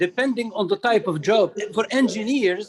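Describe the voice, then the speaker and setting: A man's high voice at a very slow pace, with ordinary pitch variation. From Tunisia. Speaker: retired professor. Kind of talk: online discussion comment.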